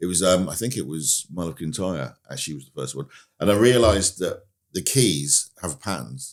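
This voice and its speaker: With a very deep, low pitch and vocal fry, a man speaks at a fairly quick pace with very wide pitch swings on a very clean recording with a silent background. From England, moved around, settled in Dorset. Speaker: pianist and music producer. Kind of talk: podcast interview. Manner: hesitant, many fillers.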